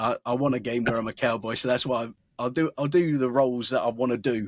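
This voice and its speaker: A man with an Essex accent speaks at a very fast pace and a medium pitch with fairly even intonation, in a dry, close sound with no echo on a very clean recording with a silent background. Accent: modern North Essex. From England, North Essex. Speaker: voice actor. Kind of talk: interview. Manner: casual, with many self-interruptions.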